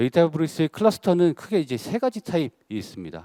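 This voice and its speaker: A man rushes along at a very fast pace in a dark, mellow tone with very wide pitch swings. The sound is dry and close, with no echo. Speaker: senior solutions architect presenting at a tech conference. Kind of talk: conference presentation.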